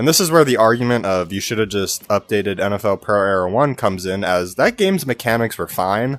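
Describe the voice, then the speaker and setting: Music plays in the background. The speaker talks at a fairly quick pace with hardly any pauses and ordinary pitch variation. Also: man, fairly low pitch for a man. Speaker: gaming YouTuber. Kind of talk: video commentary.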